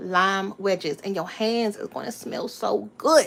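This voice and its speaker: Speaking in an American accent, a woman uses a medium pitch. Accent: Southern Maryland accent, noticed by viewers. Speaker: family cooking vlogger. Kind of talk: cooking tutorial livestream. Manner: casual, chatty.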